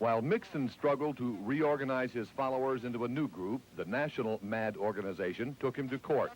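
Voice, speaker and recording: A man with a plain, everyday voice, a fairly quick pace and ordinary pitch variation. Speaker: TV news reporter. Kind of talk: TV news report voiceover.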